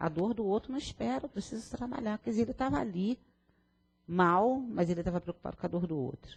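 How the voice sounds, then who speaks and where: A woman talks at a fairly quick pace in a medium-pitched, somewhat breathy voice. Her pitch swings very widely. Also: dry, close sound with no echo. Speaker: spiritist lecturer. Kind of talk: lecture. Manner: fast.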